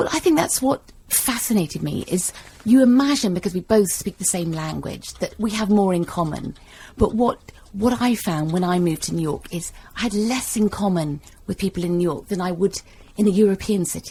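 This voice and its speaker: A woman with a London accent talks at a fairly quick pace and a medium pitch, her intonation lively and her dark, mellow tone somewhat breathy. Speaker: novelist. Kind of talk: radio interview. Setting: radio studio.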